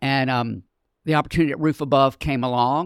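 A man with a plain, everyday voice speaks at a medium pitch with fairly even intonation, recorded very cleanly against a silent background. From Charlotte, North Carolina. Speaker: nonprofit community education director. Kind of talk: casual interview.

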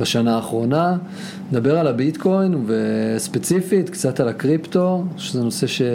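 Over noticeable background noise, a man with a fairly high pitch talks with lively intonation and very even loudness. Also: moderate pace. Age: 30s. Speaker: podcast co-host, marketing consultant. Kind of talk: casual chat.

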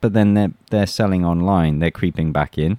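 Dry and close with no echo, the recording carries a man's dark, mellow tone. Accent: English. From England. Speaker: YouTuber and former soldier. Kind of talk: interview conversation. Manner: halting, many fillers and restarts.

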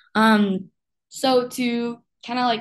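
A woman with a Spanish accent against a quiet background. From Uruguay. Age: 20s. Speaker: podcast host, university student. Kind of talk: interview.

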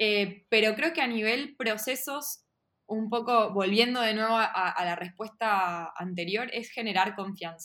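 A woman with a fairly high pitch and a bright, sharp tone speaks at a fairly slow pace with ordinary pitch variation. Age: 30s. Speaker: product manager. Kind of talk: interview. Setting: video call.

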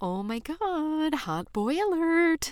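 This is a put-on character voice. It sounds female and extremely high-pitched.

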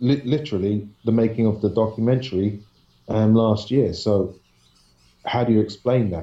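Speaking at a moderate pace with a London accent, a man uses a fairly low, somewhat breathy voice with a dark, mellow tone. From London, England. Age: 40s. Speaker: paranormal researcher and videographer. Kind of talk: interview storytelling.

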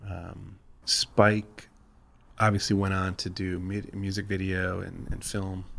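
A very deep, low male voice with an American accent, very slow and monotone with flat intonation. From US Midwest. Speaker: branding agency creative. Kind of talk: casual interview chat.

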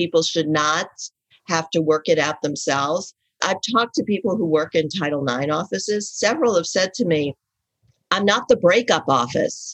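With an American accent, a woman speaks in an ordinary speaking voice at a moderate pace, her fairly low pitch carrying lively intonation. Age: 60s. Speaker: writer and advice columnist. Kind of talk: casual interview conversation.

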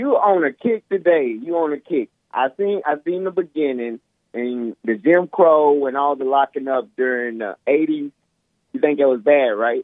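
A man with a normal speaking voice, fairly high in pitch, with lively intonation at a moderate pace. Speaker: caller. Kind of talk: heated debate. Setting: phone call.

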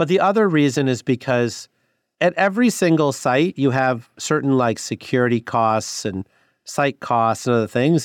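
Medium-pitched man's voice, dry and close with no echo, over a quiet background. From US Midwest, northwest Illinois. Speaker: government clean energy finance official. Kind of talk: interview.

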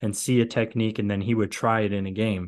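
Moderately paced, a man speaks with fairly even intonation. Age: 30s. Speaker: podcast host, football analyst. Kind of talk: solo podcast recap. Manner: casual, many filler words.

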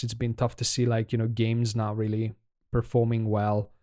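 The voice carries a dark, mellow tone. It speaks with a Hungarian accent. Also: man. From Hungary. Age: 30s. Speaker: podcaster, aspiring indie game developer. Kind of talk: casual solo podcast monologue. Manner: halting, hesitant, with filler words.

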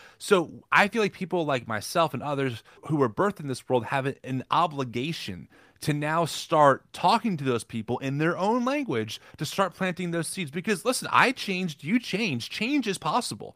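A man with an American accent talks at a moderate pace in a bright, sharp tone and a fairly high pitch with very wide swings, the sound dry and close with no echo on a very clean recording with a silent background. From New Jersey. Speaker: podcaster. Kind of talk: interview conversation.

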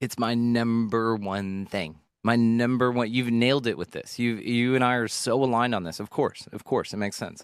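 A man with an American accent and a plain, everyday voice, medium pitch, fairly even intonation, moderate pace and hardly any pauses, on a very clean recording with a silent background. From North Texas. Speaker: podcaster. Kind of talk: casual interview conversation.

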